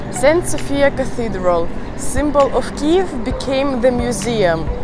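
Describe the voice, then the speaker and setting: A woman at a very slow pace, music in the background, dry sound with no echo. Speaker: presenter. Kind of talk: tour guide commentary. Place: street. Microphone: handheld.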